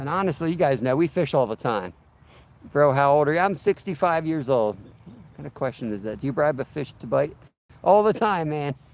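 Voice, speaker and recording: Delivered at a fairly quick pace, a normal speaking voice carries lively intonation and big swings in loudness. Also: man, fairly high pitch for a man. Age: 40s. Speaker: fishing livestreamer. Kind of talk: casual livestream chat. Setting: outdoors. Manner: relaxed.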